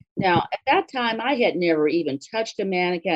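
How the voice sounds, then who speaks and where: A woman's fairly low voice with lively intonation, in an American accent. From Los Angeles, US. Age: 60s. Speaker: small business owner. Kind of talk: interview.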